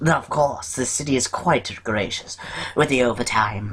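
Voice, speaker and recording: A man speaks in a put-on character voice at medium pitch, with ordinary pitch variation and a moderate pace. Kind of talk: comic overacting. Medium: actual play. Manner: prim, official, slightly pompous.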